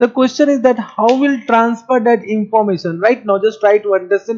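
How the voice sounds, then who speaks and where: Someone with an Indian accent speaks at a moderate pace. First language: Marwari. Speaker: accounting teacher. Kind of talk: lecture. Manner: animated, rhetorical questioning.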